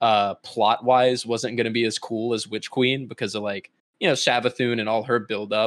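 A man with an ordinary speaking voice, medium pitch and a fairly quick pace, on a very clean recording with a silent background. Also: dry, close sound with no echo. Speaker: content creator. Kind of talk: casual chat.

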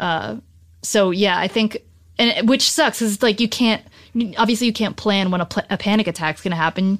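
Against a silent background in a very clean recording, a woman with an American accent uses an ordinary speaking voice at a medium pitch, with ordinary pitch variation and a fairly quick pace. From New Jersey. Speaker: writer. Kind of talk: casual chat.

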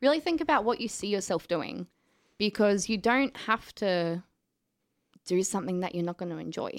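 A woman with an Australian accent speaks at a moderate pace in a medium pitch, her intonation lively, with long, frequent pauses, on a very clean recording with a silent background. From Australia, southeast Queensland. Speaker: film student. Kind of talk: casual interview chat.

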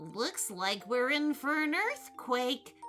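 Over clear music in the background, a high, female-sounding put-on character voice speaks at a very slow pace.

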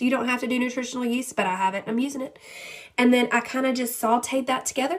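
Her pitch sits high as the woman talks. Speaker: podcast host and health coach. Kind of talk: casual, chatty, encouraging. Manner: fast talker.

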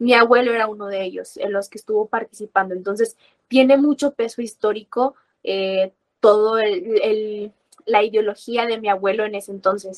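A woman speaks in an ordinary speaking voice at a moderate pace, her pitch fairly high. The sound is dry and close with no echo, and her intonation stays fairly even. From Mexico. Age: 20s. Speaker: university student and libertarian activist. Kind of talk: interview.

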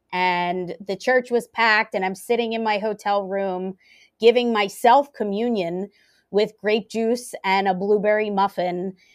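A woman with an American accent talks at a fairly slow pace in an unremarkable speaking voice of medium pitch, her intonation fairly even. The sound is dry and close with no echo against a quiet background. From US, Philadelphia area. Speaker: pastor. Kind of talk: interview conversation.

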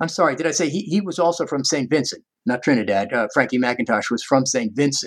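The talk is very fast, in an American accent. Intonation stays lively throughout. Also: man, fairly high pitch for a man. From US Northeast, Long Island, New York. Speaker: music professor. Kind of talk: interview. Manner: halting.

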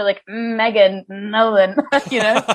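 A woman uses a put-on robotic character voice with a fairly high pitch. She speaks fairly slowly in a flat monotone. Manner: deadpan.

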